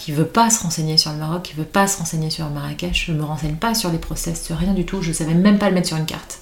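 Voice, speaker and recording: A woman talks at a very fast pace with hardly any pauses. Noticeable background noise runs behind her. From Paris, France. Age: 40s. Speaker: entrepreneur. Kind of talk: casual chat.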